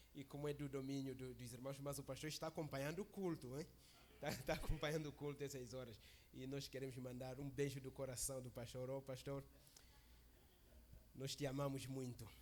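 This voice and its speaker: Talking at a fairly quick pace with fairly even intonation, a man with a fairly high pitch takes long, frequent pauses. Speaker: visiting preacher. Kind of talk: sermon. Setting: church service.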